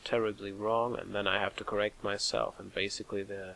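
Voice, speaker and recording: Whispering at a moderate pace, a man speaks with a German accent. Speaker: let's play gamer. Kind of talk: gameplay commentary. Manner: halting, self-correcting.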